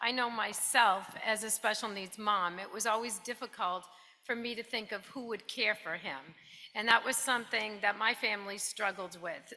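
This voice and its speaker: A woman's fairly high, bright and sharp voice in a New Jersey accent with fairly even intonation. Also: moderate pace. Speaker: financial planning specialist. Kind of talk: presentation. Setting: stage with audience.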